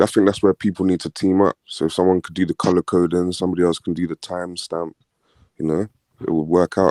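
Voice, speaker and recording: A man's very deep, low voice at a fairly quick pace, monotone and flat, with a dry, close sound with no echo on a very clean recording with a silent background. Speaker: caller on live stream. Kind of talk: casual chat.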